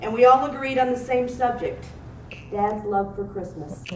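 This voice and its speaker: With noticeable background noise behind her, a woman talks at a fairly quick pace using lively intonation. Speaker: daughter giving a eulogy for her father. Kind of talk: eulogy reading. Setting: funeral or memorial service. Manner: emotional, heartfelt, with light humor.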